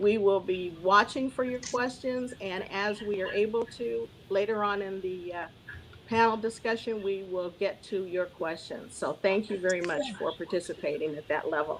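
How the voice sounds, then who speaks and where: A woman talks at a moderate pace with a medium pitch and ordinary pitch variation. It is a plain, everyday voice. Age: 60s. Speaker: moderator. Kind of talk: virtual town hall moderation. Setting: video call.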